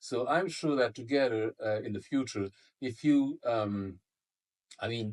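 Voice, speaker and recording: Somewhat breathy, a man talks. His pace is moderate. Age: 60s. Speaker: product creator and entrepreneur. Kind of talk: business interview. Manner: halting, many fillers and repetitions.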